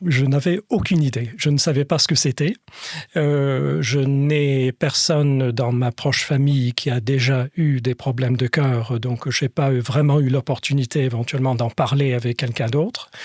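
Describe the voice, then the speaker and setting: Over a dry, close sound with no echo, a somewhat breathy man of medium pitch speaks at a fairly slow pace with fairly even intonation and very even loudness. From Scotland and France. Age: 60s. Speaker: patient, former lawyer. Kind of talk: podcast interview. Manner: hesitant, many fillers.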